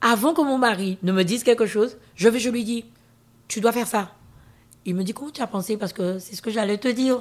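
With a fairly high voice and ordinary pitch movement, this woman talks at a moderate speed. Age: 50s. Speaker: interview guest sharing her life story. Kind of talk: testimony.

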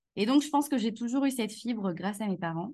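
A woman speaks in a somewhat breathy voice. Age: 30s. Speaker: HR consultant and business founder. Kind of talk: casual interview chat.

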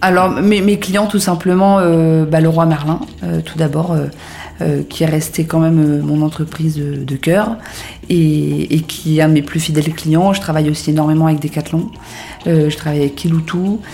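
Amid noticeable background noise, a woman speaks at a moderate pace with very deep, low pitch and fairly even intonation, pausing long and often. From northern France (Hauts-de-France, near Lille). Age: 30s. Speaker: entrepreneur. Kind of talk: interview. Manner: hesitant, many fillers and repetitions.

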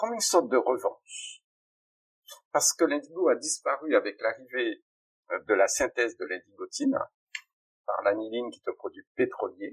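At a moderate pace, the speech comes with long, frequent pauses and big swings in loudness, recorded dry and close with no echo. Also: man. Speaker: pharmacist and plant-dye entrepreneur. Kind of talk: interview. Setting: recording studio. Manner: animated.

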